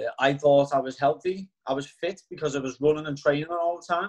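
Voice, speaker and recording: A man with a Liverpool accent, fairly high in pitch, fairly quick, with fairly even intonation. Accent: Liverpool (Scouse). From Liverpool, England. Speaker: network marketing distributor. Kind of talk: testimony.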